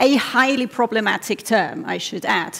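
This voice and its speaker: Speaking at a fairly slow pace, a woman with a non-native accent uses a high pitch. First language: not English. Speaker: doctoral researcher. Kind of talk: competition talk. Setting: stage with audience. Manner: animated.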